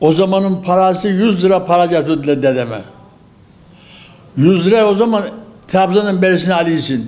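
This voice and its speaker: A man speaks in a high pitch with very even loudness and long, frequent pauses. There is noticeable background noise. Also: ordinary pitch variation, moderate pace. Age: 80s+. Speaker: elderly tea farmer. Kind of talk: interview answer.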